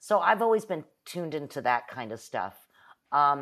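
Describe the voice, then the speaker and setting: A woman with an American accent speaks at a moderate pace in a very deep, low pitch against a quiet background. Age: 50s. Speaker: improv comedian and teacher. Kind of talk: casual chat.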